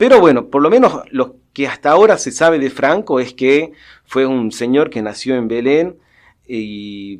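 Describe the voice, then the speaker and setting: Against a quiet background, a man uses lively intonation at a medium pitch and moderate pace. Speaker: professor, researcher. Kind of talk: interview answer. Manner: hesitant, thoughtful.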